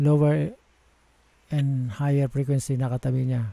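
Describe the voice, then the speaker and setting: A man's somewhat breathy voice has a dark, mellow tone and a fairly high pitch, moving at a fairly slow pace with fairly even intonation in a dry sound with no echo. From Philippines. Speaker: audio software tutorial maker; audio software instructor. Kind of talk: tutorial. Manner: halting.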